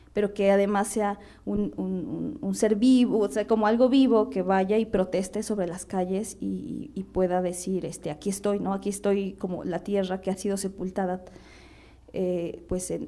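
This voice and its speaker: A woman with a medium pitch speaks at a moderate pace, with ordinary pitch variation. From central Mexico, Hñähñu (Otomí) village. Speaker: artist. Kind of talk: panel discussion. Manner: halting, many fillers and repetitions.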